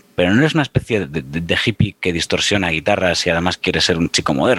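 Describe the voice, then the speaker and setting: A man with lively intonation at a fairly quick pace, in a dry, close sound with no echo. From Spain, Galicia (Pontevedra). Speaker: former radio presenter, music commentator. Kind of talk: casual chat. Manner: hesitant, repeats words.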